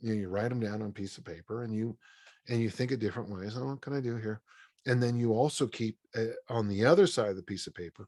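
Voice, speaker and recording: In a very clean recording with a silent background, a man with an American accent talks at a very fast pace, his pitch medium with ordinary variation. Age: 60s. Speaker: strength coach and author. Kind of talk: interview. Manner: casual, halting with false starts.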